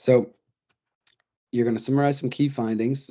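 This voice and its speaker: Dark, mellow male speech over a quiet backdrop. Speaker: undergraduate research presenter. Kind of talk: webinar presentation. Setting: online webinar. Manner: fast; halting, many fillers.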